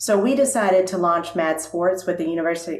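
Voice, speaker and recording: A woman with an unremarkable speaking voice talks at a moderate pace, her pitch fairly low. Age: 60s. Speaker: nonprofit CEO. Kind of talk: panel discussion. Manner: conversational with frequent fillers.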